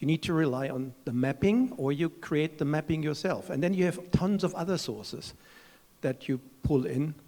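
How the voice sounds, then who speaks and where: With a German accent, a man speaks in a dark, mellow tone at a fairly high pitch, moderate pace and ordinary pitch variation. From Germany. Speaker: chief executive of standards foundation. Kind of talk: panel discussion.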